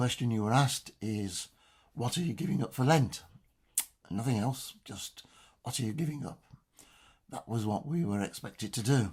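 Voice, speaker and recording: A man with an English accent speaks at a moderate pace and medium pitch. His voice is somewhat breathy, with long, frequent pauses. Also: lively intonation. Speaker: church lay reader. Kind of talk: religious reflection. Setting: home study.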